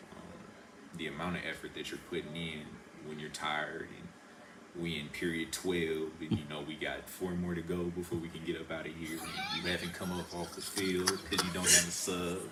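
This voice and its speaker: Someone with an American accent speaks in a monotone, flat intonation, with audible room echo and noticeable background noise. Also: man, very deep, low pitch for a man, moderate pace. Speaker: college football player. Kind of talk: interview. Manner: laid back.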